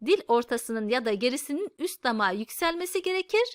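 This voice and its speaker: A woman projects a raised voice, high-pitched and bright with a sharp tone and very wide pitch swings. The sound is dry and close with no echo, on a very clean recording with a silent background. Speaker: Quran reading teacher. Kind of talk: tutorial. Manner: slow, repeating letter sounds for learners.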